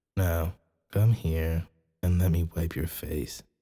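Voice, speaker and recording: Very deep and low in pitch, a man speaks with monotone, flat intonation, a somewhat breathy quality and a dark, mellow tone. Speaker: ASMR roleplay performer. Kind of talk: ASMR boyfriend roleplay. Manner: soft-spoken, caring.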